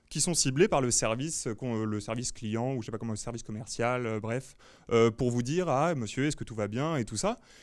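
In a very clean recording with a silent background, a man speaks at a moderate pace with medium pitch and ordinary pitch variation. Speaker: meetup speaker on big data strategy. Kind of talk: lecture. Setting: meetup talk with small live audience. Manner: hesitant, many fillers.

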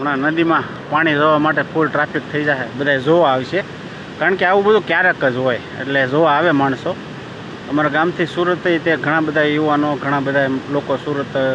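A man talks at a fairly high pitch with fairly even intonation and very even loudness. Noticeable background noise runs underneath. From Saurashtra, Gujarat (Bhavnagar district). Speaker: village vlogger. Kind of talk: vlog walk-through. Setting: outdoors in rain. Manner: casual, conversational.

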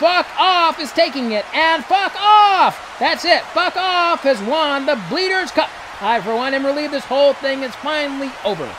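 With an extremely high pitch, a man uses a raised, projected voice and lively intonation, with hardly any pauses and noticeable background noise. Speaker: narrator. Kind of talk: comedic horse race commentary. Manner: fast, excited.

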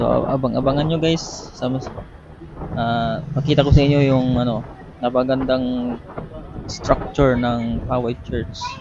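Long, frequent pauses from a man at a fairly slow pace, medium in pitch with fairly even intonation, amid noticeable background noise and audible room echo. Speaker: moto vlogger. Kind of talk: casual vlog voice-over. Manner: halting.

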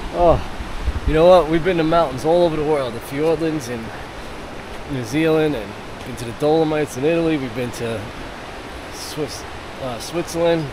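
A man speaks at a fairly high pitch, with big swings in loudness and long, frequent pauses. The sound is dry with no echo, though noticeable background noise is present. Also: ordinary pitch variation, moderate pace. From United States. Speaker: travel vlogger. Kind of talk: casual vlog narration. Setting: outdoors. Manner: animated. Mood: enthusiastic, impressed. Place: forest. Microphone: phone near.

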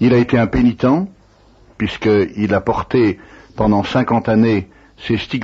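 Somewhat breathy, a man speaks at a medium pitch with ordinary pitch variation and long, frequent pauses. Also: fairly slow pace. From France, Savoie (Annecy). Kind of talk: interview. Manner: halting.

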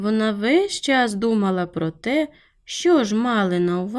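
A natural reading voice carries the text with lively intonation.

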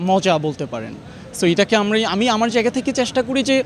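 Here a man speaks with high pitch. His intonation is lively. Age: 20s. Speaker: shopper interviewed in street vox pop. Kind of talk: street interview.

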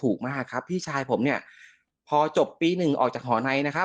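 A man's fairly high voice with lively intonation against a quiet background. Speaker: caller telling a ghost story. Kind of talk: storytelling. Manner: loud and clear.

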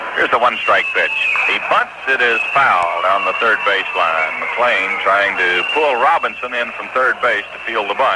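A man speaks with hardly any pauses over loud background noise. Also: moderate pace. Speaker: sports announcer. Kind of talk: radio baseball play-by-play. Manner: conversational, folksy. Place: booth. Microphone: old recording.

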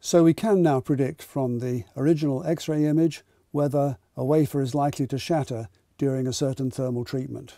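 Heard in a very clean recording over a silent background, a man uses a dark, mellow tone at a fairly high pitch, speaking at a moderate pace with ordinary pitch variation. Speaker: documentary narrator. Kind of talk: scripted narration.

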